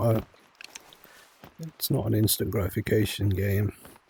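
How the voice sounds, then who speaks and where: Against noticeable background noise, a man with a medium pitch speaks at a fairly slow pace. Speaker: gaming streamer. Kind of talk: gameplay commentary. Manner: whispering at times; halting, self-correcting.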